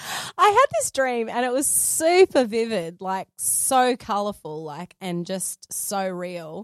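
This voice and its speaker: A woman with an Australian accent speaks at a very slow pace and a medium pitch, with very wide pitch swings. Her loudness swings widely, and the sound is dry and close with no echo. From Australia, Sydney and Gold Coast. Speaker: photographer and filmmaker. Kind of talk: interview.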